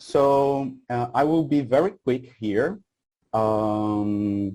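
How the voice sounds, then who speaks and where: A man speaks very slowly with a Portuguese accent. His tone is dark and mellow, with ordinary pitch variation. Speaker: researcher. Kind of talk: conference presentation. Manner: halting, many fillers.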